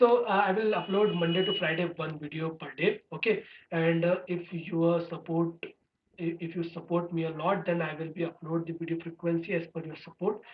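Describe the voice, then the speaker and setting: At a moderate pace and with hardly any pauses, the speaker talks in an Indian accent. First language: Hindi. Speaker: programming tutor, channel owner. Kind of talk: tutorial course introduction. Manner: halting, many fillers.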